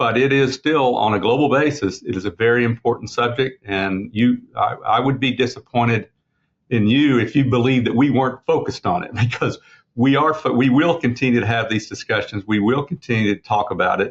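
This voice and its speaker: A man speaks with an American accent at medium pitch. His pace is fairly quick and his pitch varies in an ordinary way. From Oklahoma. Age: 60s. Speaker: racehorse owner and breeder. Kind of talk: interview. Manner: halting, many repetitions.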